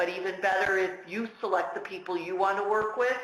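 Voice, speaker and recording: With an American accent, a woman speaks in a medium pitch with monotone, flat intonation, amid audible room echo and noticeable background noise. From United States. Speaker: patent lawyer. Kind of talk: webinar Q&A. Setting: webinar.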